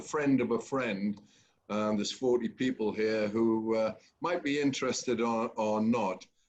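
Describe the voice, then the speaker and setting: A man with an English accent. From England. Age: 70s. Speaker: company chairman hosting a webinar. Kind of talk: webinar moderation. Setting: online webinar. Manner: hesitant, many fillers.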